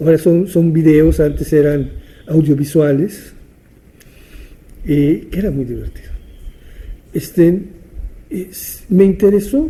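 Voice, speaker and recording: A man's fairly high voice, very slow, with long, frequent pauses, ordinary pitch variation and a dark, mellow tone. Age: 70s. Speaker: theatre teacher and writer. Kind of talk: interview monologue, reminiscing. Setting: at his home. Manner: halting, with repetitions and fillers.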